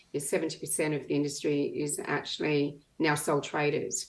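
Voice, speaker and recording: On a very clean recording with a silent background, a woman with an Australian accent speaks fairly quickly in a very deep, low pitch. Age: 60s. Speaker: retired business owner. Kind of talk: panel discussion.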